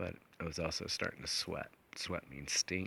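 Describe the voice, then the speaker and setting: Vocal fry runs through a bright, sharp tone delivered at a moderate pace. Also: man. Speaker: hunter and outdoor vlogger. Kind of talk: outdoor vlog narration. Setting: outdoors in mountains. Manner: casual, with many fillers.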